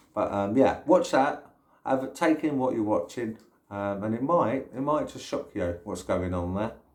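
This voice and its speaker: With a slight London accent, a man talks at a moderate pace in a medium pitch with lively intonation. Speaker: YouTuber. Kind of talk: casual vlog monologue. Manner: hesitant, many fillers.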